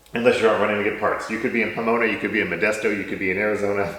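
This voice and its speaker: A man rushes along at a very fast pace amid noticeable background noise and audible room echo. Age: 40s. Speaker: company executive and interviewer. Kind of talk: casual chat.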